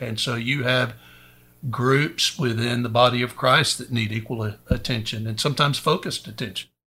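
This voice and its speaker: Fairly even in intonation, a man with a bright, sharp tone and medium pitch talks at a moderate pace. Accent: East Texas. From East Texas. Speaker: preacher and Air Force veteran. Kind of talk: casual Bible discussion. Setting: studio.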